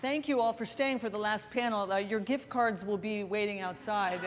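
A woman speaks with ordinary pitch variation at a moderate pace. Background noise is noticeable throughout. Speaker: panel moderator. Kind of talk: panel introduction. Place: stage. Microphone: lapel.

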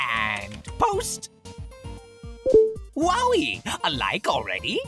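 A put-on character voice speaks at a very slow pace. Clear music plays in the background. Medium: dub. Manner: excitable, boastful.

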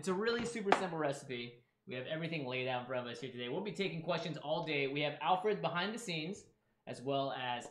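A man rattles off his words very fast against noticeable background noise. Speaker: cooking show host. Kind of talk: livestream cooking chat. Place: kitchen.

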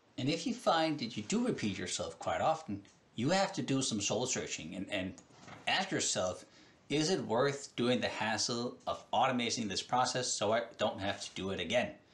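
A man talks at a moderate pace, his pitch swinging very widely. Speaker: presenter. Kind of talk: tutorial. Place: home room. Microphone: headset.

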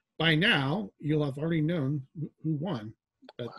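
Somewhat breathy, a man talks at a moderate pace with ordinary pitch variation, the sound dry with no echo and the background quiet. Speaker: panel moderator. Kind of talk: panel introduction. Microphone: video call.

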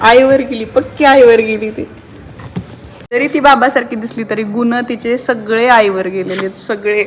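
A woman's animated, fairly high voice with big swings in loudness over noticeable background noise. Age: 30s. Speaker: vlogger, new mother. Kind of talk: casual vlog talk to camera.

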